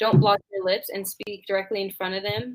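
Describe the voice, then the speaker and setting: A woman talks with a voice at a medium pitch. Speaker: nursing student presenter. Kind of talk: class presentation. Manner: fast; casual, filler-heavy.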